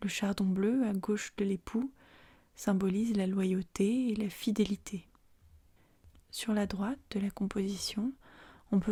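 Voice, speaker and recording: Soft-spoken, calm speech at a very slow pace. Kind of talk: ASMR art-history narration, calm educational presentation. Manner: calm, soft-spoken.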